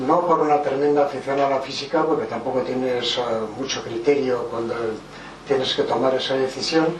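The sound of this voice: Audible room echo is present as a man speaks at a medium pitch. He keeps a moderate pace with fairly even intonation.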